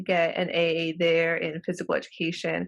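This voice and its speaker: With a Spanish accent, a woman talks at a fairly slow pace in a fairly low pitch, on a very clean recording with a silent background. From Los Angeles County, California (Mexican American). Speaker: professor. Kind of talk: interview.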